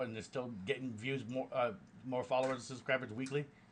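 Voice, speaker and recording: A man's medium-pitched words come out at a very fast pace. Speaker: streamer and hip hop artist. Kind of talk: casual live stream talk. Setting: live stream with screen capture. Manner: halting, stuttering.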